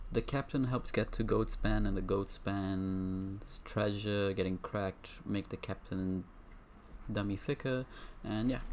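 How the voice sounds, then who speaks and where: This voice carries a non-native accent. The speech moves at a fairly slow pace. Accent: non-native, trouble with some words. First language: not English. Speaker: gaming streamer. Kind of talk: gameplay commentary. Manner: halting, frequent self-corrections.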